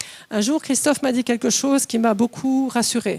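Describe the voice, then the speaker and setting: The voice belongs to a woman. She sounds animated. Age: 60s. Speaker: preacher. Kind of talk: sermon.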